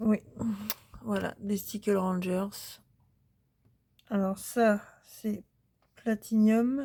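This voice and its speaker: A woman's medium-pitched voice, very slow, with long, frequent pauses and fairly even intonation. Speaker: crafting youtuber. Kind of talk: casual haul video talk. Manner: hesitant, many fillers.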